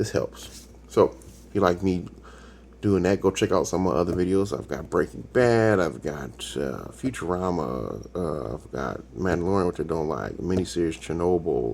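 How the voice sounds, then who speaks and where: Very deep, low pitch from a man, with vocal fry and lively intonation. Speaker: YouTube TV reaction reviewer. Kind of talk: casual solo commentary. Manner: sometimes fast, stumbling; halting, searches for words.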